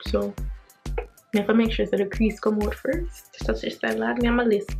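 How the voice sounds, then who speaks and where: With music in the background, a woman speaks in a Jamaican accent. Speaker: beauty vlogger. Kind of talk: casual talk to camera.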